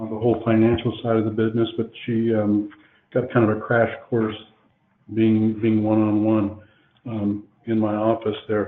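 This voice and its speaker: The man talks at a moderate pace, his voice at a medium pitch. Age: 60s. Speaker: drywall contractor, company owner. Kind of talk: webinar panel discussion. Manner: halting, many fillers.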